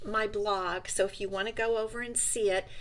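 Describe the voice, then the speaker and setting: Animated in tone, a woman speaks at a fairly high pitch with ordinary pitch variation. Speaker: card-making demonstrator. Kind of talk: live craft tutorial. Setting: livestream. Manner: loud. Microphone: good microphone.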